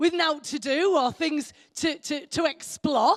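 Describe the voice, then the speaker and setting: An English accent marks the speech. It moves at a moderate pace. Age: 60s. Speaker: preacher. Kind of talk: sermon. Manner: conversational, with fillers and repetitions.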